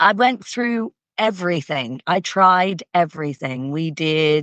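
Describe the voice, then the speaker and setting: With a slight Canadian accent, a woman speaks very slowly in a fairly low voice with lively intonation. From Canada. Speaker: equestrian coach. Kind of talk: interview.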